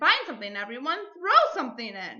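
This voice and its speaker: A woman puts on a character voice, talking fairly quickly with very wide pitch swings. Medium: read story. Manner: warm, lively.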